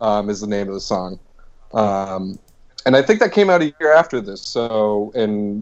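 A man with an American accent, fairly low in pitch, an unremarkable speaking voice. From Boston, US Northeast. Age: 20s. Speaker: podcast co-host. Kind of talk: casual chat.

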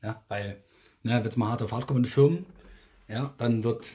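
A quiet man's voice at a medium pitch, somewhat breathy, with a dark, mellow tone, a moderate pace and ordinary pitch variation. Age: 40s. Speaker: podcast co-host. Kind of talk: casual chat. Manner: speaking more quietly.

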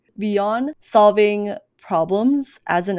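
The recording is very clean, with a silent background. The voice has an American accent and ordinary pitch variation. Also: woman. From US, Chinese heritage. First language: Mandarin. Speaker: podcast host. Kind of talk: casual chat.

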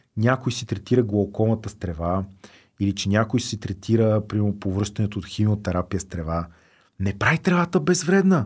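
A man talks in an ordinary speaking voice with fairly low pitch. His pace is fairly quick. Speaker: drug policy activist, organization founder. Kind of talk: casual interview chat.

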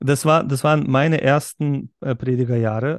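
In a normal speaking voice with ordinary pitch variation, a man speaks at a moderate pace, the sound dry and close with no echo against a quiet background. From Berlin, Germany. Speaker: pastor and podcast host. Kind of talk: casual chat.

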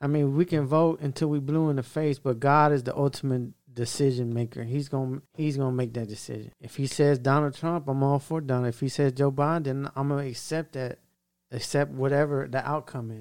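A man with a Louisiana accent speaks at a fairly quick pace in a fairly high pitch. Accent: Louisiana Southern US. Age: 40s. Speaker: podcast co-host. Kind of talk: casual chat. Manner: halting, repetitive.

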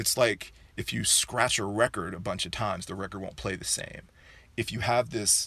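A man speaks at a moderate pace. Nothing is heard behind him in this very clean recording with a silent background. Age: 40s. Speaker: sex educator. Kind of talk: casual chat.

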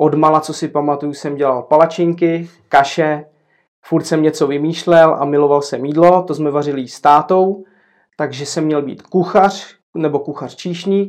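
A man with a plain, everyday voice speaks at a moderate pace, his pitch fairly high and his intonation fairly even. His loudness swings widely over a quiet background. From Czechia, Zlín. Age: 40s. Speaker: café owner. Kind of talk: casual interview.

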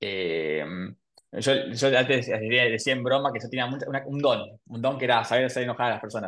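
Speaking at a fairly quick pace, a man uses a medium pitch with ordinary variation and some vocal fry. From Argentina, Buenos Aires. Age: 30s. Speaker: podcast host. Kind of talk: casual interview chat.

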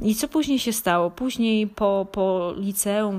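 The recording is very clean, its background silent. On it, a woman speaks at a medium pitch. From Poland, Lesser Poland (Małopolska). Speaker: online fitness coach. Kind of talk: personal story monologue. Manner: halting, with filler sounds.

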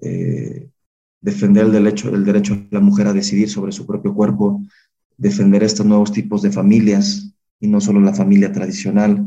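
A man's fairly low voice with a dark, mellow tone and a Mexican accent, monotone and flat at a moderate pace, with audible room echo. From Mexico, Salamanca (Guanajuato). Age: 20s. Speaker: political candidate. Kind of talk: interview.

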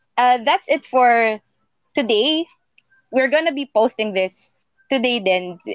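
A woman with a high pitch and lively intonation speaks very slowly, pausing long and often. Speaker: podcast co-host. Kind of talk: casual chat.

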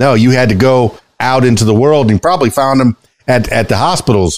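Talking at a fairly quick pace with an American accent, a man uses an animated tone and ordinary pitch variation. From South Florida. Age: 50s. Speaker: podcast host and DJ. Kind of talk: casual interview chat. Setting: studio.

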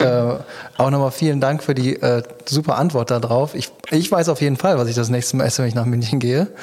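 A very fast pace, very even loudness and ordinary pitch variation, with noticeable background noise. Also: man, medium pitch for a man. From Düsseldorf. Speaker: podcast host. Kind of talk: interview.

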